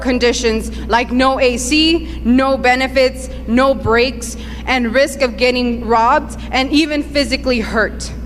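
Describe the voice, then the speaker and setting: Noticeable background noise is present. Over it, a woman speaks fairly slowly. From Southern California (Southgate, Paramount), born in Mexico. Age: 30s. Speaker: immigrant activist. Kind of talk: testimony.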